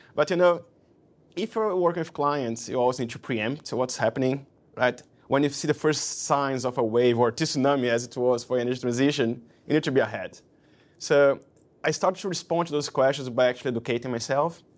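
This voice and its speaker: At a fairly quick pace, a man speaks with a Portuguese accent. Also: medium pitch for a man, ordinary pitch variation. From Brazil. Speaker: investment banker. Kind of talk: interview. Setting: office.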